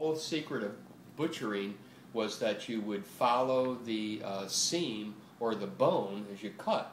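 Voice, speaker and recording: A man with an American accent speaks in a fairly low pitch. His intonation is lively and his pace fairly slow. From Buffalo, New York. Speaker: retired butcher. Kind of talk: oral history interview answer. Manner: casual, hesitant, many fillers.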